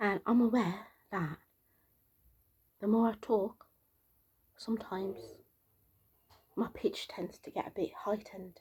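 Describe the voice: A soft-spoken woman's medium-pitched voice, slightly mellow with a husky, rough edge, slow and fairly even, broken by long, frequent pauses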